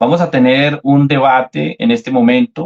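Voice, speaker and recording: Very wide pitch swings mark a man's fairly high voice. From Colombia. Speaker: debater, Oneness apologist. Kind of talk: debate.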